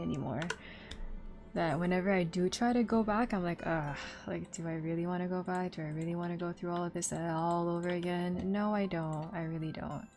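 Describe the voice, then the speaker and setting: Over music in the background, a woman talks at a fairly quick pace with a fairly low pitch and fairly even intonation. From Quebec, Montreal. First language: French. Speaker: streamer and cosplayer. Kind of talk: casual chat.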